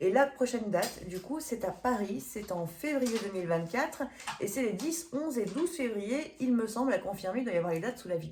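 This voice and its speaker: A woman's fairly high voice at a fairly quick pace, with very wide pitch swings and noticeable background noise. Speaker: medium and energy healer. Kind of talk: event promotion; tarot reading video. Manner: hesitant, many fillers.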